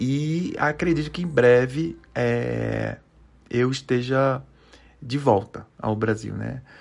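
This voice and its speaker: A man talks at a very slow pace. His medium pitch shows ordinary variation. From Recife, northeast Brazil. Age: 40s. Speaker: Portuguese teacher. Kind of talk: language lesson. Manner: halting.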